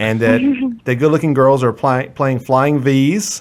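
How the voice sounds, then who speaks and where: A man with a normal speaking voice, medium pitch and a fairly slow pace. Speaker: podcast host. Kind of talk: podcast interview questions.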